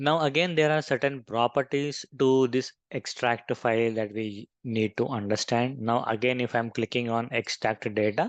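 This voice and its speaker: A man with an Indian accent speaks at a moderate pace in a medium pitch, with hardly any pauses. His intonation is fairly even, and the sound is dry and close with no echo over a quiet background. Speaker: software trainer. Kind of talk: tutorial.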